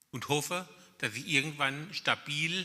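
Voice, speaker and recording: A man's fairly high pitch, with a bright, sharp tone and vocal fry. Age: 60s. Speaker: blind workshop participant. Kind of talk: testimony. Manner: halting.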